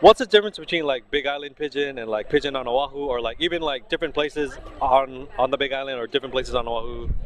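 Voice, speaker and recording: A man speaks very fast in a fairly high voice, with noticeable noise behind him. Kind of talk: interview questions.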